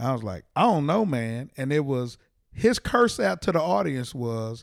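With an American accent, a man at a medium pitch swings his voice very widely up and down, on a very clean recording with a silent background. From Texas, Fort Worth. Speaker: comedian. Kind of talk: casual chat. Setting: in a parked minivan used as studio.

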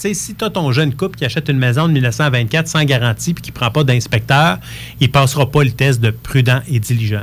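A man speaks in a normal speaking voice at a fairly quick pace. His pitch is medium, with ordinary variation. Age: 40s. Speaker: real estate lawyer. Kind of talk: radio interview.

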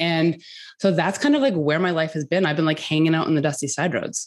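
A woman speaks in a Canadian accent at a very deep, low pitch. Her pitch varies in an ordinary way. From Canada, rural. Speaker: entrepreneur and mother. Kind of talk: casual interview chat.

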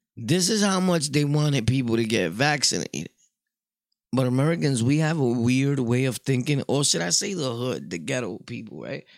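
Speaking at a moderate pace in an animated tone, a man at medium pitch makes very wide pitch swings in a very clean recording with a silent background. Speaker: podcaster. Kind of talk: casual monologue storytelling. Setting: home studio.

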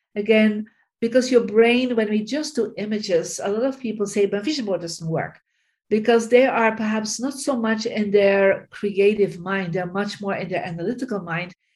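A woman speaks with a somewhat breathy voice and ordinary pitch variation. The background is quiet. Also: fairly high pitch for a woman, moderate pace. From Belgium, Bruges. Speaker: feng shui teacher and author. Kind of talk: interview.

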